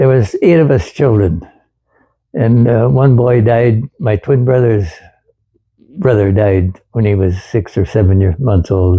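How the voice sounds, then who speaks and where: A man's relaxed, dark, mellow, somewhat breathy voice at medium pitch, with ordinary pitch variation and very even loudness. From Wisconsin, USA. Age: 80s+. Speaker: World War II veteran, former farm boy. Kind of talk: interview answer, reminiscing about childhood. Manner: relaxed, conversational, reminiscing.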